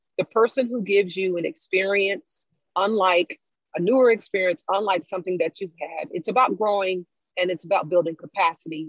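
A woman talks at a fairly quick pace in an ordinary speaking voice, medium in pitch. Her pitch variation is ordinary, and the sound is dry and close with no echo. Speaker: guest, educator. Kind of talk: casual discussion podcast.

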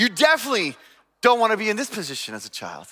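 A raised, projected voice with a bright, sharp tone comes through on a very clean recording with a silent background. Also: man. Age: 40s. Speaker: pastor. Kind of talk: sermon.

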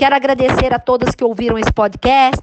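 A woman with a high pitch and ordinary pitch variation speaks over noticeable background noise. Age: 50s. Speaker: life coach and former councillor. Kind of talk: interview.

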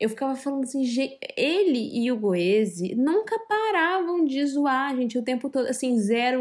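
Her voice high in pitch, a woman speaks at a moderate pace with lively intonation. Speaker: podcast co-host. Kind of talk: casual chat.

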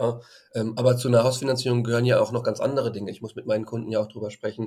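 Somewhat breathy and at a medium pitch, a man talks at a very fast pace. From Frankfurt, Germany. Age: 30s. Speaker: financial advisor and blogger. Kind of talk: casual interview. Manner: hesitant, many fillers.

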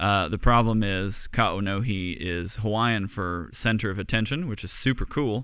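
In an unremarkable speaking voice, a man speaks at fairly low pitch with ordinary pitch variation, a moderate pace and hardly any pauses, on a very clean recording with a silent background. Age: 30s. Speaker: furniture maker, business owner. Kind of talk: casual interview.

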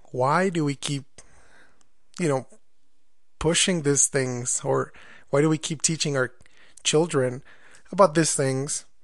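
Against a quiet background, a man with a Spanish accent speaks at a fairly slow pace, his fairly high pitch following a fairly even intonation. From Mexico. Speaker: podcast host. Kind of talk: podcast monologue. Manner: halting, with fillers.

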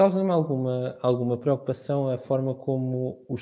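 A man at medium pitch, a normal speaking voice. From Portugal, Santarém district (Ribatejo). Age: 20s. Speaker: communications student, football fan panelist. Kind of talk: casual panel discussion.

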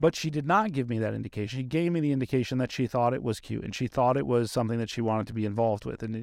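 Delivered at a very fast pace with ordinary pitch variation, this speech comes in a very clean recording over a silent background. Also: man. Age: 40s. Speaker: podcast host. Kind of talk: casual interview chat. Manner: candid, profane.

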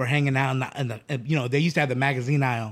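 Speaking at a very fast pace, a man with an American accent uses a medium-pitched voice. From Phoenix, Arizona. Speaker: clothing brand owner. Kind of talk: casual chat.

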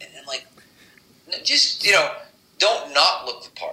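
A man's voice comes through with noticeable background noise. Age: 50s. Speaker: strength and conditioning coach. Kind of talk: interview.

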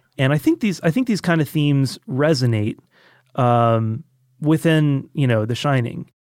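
An ordinary speaking voice from a man, fairly high in pitch, with ordinary pitch variation and very even loudness. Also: moderate pace, dry, close sound with no echo, very clean recording, silent background. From Georgia, US (Roswell, Atlanta area). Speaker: audio engineer and film buff. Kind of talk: casual chat. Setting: studio.

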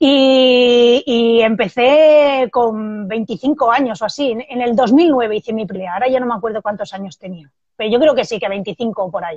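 With a plain, everyday voice, a woman talks at a fairly high pitch and a fairly slow pace, with ordinary pitch variation and hardly any pauses. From Spain, Barcelona. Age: 30s. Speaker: Muay Thai fighter and self-defence instructor. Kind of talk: casual interview.

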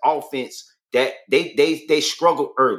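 Loud and marked by vocal fry, the voice moves at a fairly slow pace with very wide pitch swings. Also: man. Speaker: sports podcast co-host. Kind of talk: casual sports talk live stream.

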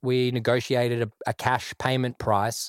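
The speaker has an Australian accent, and the sound is dry and close with no echo. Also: man, very clean recording, silent background. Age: 30s. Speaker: music producer. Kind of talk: casual interview chat.

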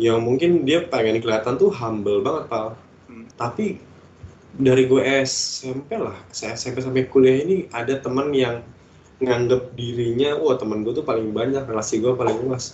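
There is noticeable background noise behind a man speaking at a moderate pace. His pitch sits in the medium range, with ordinary variation. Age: 20s. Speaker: podcast co-host. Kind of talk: casual chat.

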